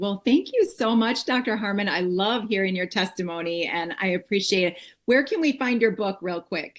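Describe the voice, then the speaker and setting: A woman with a plain, everyday voice speaks at a moderate pace and medium pitch, her intonation lively and her delivery hardly pausing, over a quiet background. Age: 50s. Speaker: network marketing distributor hosting a call. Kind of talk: interview on a video call. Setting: video call.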